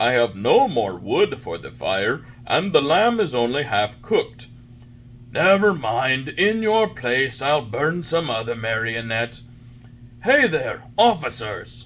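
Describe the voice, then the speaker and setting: A put-on character voice from a man, medium in pitch and at a fairly slow pace, with clear background noise. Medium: read story. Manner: gruff, blustering.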